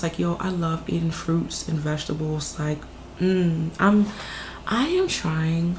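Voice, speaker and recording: Amid noticeable background noise, a woman speaks at a fairly slow pace with fairly low pitch. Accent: American. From US South, Martinsville, Virginia. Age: 20s. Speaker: psychic reader, video creator. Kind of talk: casual Q&A monologue. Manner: casual, filler-heavy.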